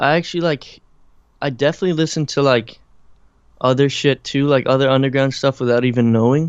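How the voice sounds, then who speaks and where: This man has a medium-pitched voice. His intonation stays fairly even. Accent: slight Irish. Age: 20s. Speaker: musician. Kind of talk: interview.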